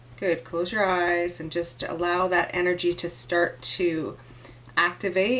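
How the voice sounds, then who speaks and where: Her pitch fairly low, a woman speaks at a fairly slow pace with fairly even intonation. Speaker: energy coach and intuitive. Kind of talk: guided meditation, with vlog intro and outro. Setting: video blog to camera. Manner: instructive, encouraging. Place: home room. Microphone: phone near.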